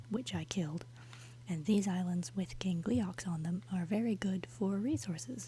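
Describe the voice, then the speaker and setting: A soft-spoken voice with a calm tone. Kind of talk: casual gameplay commentary, relaxed talk to the viewers. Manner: soft-spoken, calm.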